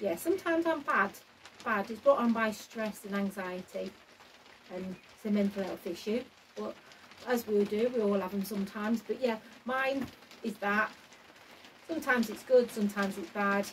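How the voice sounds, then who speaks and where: Over noticeable background noise, a woman with a fairly high pitch talks at a moderate pace, broken by long, frequent pauses. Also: ordinary pitch variation. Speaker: allotment gardener vlogger. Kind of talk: casual vlog chat. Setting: garden shed. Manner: halting.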